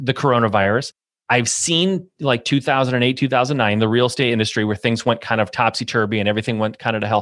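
A man with a Midwestern American accent talks at a fairly quick pace with hardly any pauses, his medium pitch showing ordinary variation. His loudness stays very even, and the recording is very clean with a silent background. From US Midwest, Michigan. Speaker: real estate investor and business coach. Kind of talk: interview. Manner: animated.

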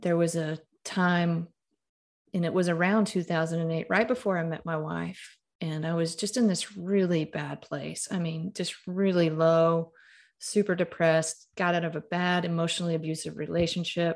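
On a very clean recording with a silent background, a woman with a Southern US accent speaks at a moderate pace with fairly even intonation. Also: fairly low pitch for a woman. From Mississippi (Starkville). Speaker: author and storyteller. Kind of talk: interview.

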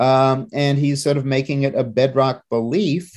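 This is a normal speaking voice at a moderate pace. The background is quiet. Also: man. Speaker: magazine editor. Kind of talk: political commentary.

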